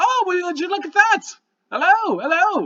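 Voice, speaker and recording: A man does a put-on character voice, squeaky and extremely high in pitch. He keeps a moderate pace. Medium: actual play. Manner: folksy, warm, easygoing.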